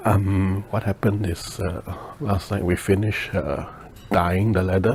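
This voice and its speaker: Over noticeable background noise, the speaker whispers at a fairly slow pace. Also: man. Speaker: leathercraft maker. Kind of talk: tutorial. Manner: whispering; hesitant with many fillers.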